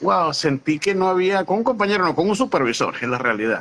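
The voice is a man's. He uses lively intonation. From Venezuela. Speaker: immigration consultant; interview guest. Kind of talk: interview. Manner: halting, many repetitions. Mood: warm, animated, smiling. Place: home room. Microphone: video call.

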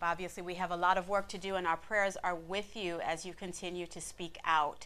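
Hardly pausing, a woman with a fairly low pitch talks in a monotone, flat intonation. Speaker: news show anchor. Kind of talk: news reading. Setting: studio. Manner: formal. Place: studio.

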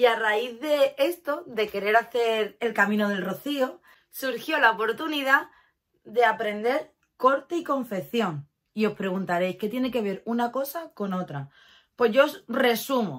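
Against a quiet background, the speaker moves at a fairly slow pace with lively intonation and an animated tone. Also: woman, fairly high pitch for a woman. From Catalonia, Spain (Barcelona), moved to Málaga at 11. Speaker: lifestyle YouTuber. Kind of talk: casual vlog talk to camera. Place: home room. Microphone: phone near.

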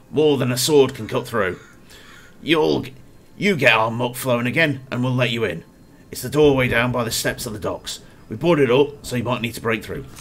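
This man puts on a gravelly character voice at a medium pitch. He keeps a moderate pace. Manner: urgent, demanding.

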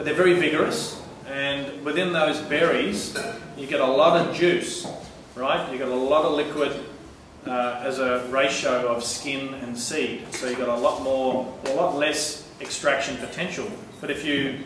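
With audible room echo and light background noise, the speech runs at a moderate pace with fairly even intonation. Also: man. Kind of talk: informal talk to a tasting group. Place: shop. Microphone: camera far.

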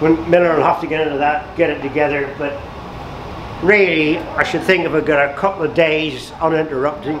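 Noticeable background noise sits behind the speaker. A man talks with monotone, flat intonation. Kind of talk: casual guided tour commentary. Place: workshop.

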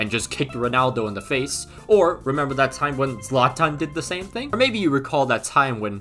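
A man at a fairly quick pace, hardly any pauses, faint music in the background. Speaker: youtuber. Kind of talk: comedic commentary. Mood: joking, amused, laughing. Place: home room.

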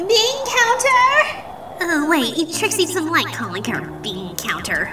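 Over faint music, a woman does a cartoonish character voice, extremely high and bright, sharp in tone, with big pitch swings at a slow pace.

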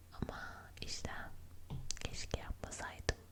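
Someone whispers over noticeable background noise. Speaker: ASMR creator. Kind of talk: ASMR chat, would-you-rather questions. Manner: whispered; soft-spoken.

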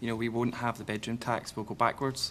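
A man with a Scottish accent over light background noise. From Scotland. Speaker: TV news presenter. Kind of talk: moderating a televised debate. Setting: TV studio with audience. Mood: frustrated, challenging. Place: studio.

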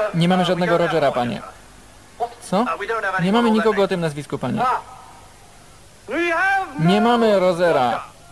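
Noticeable background noise sits under a man speaking at a high pitch and a fairly quick pace. His intonation is lively and his loudness very even. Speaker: film voice-over lector. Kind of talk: film voice-over translation reading.

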